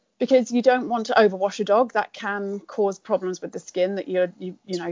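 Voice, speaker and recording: With a British accent, a woman speaks at medium pitch and ordinary pitch variation. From rural UK. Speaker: veterinarian. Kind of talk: interview.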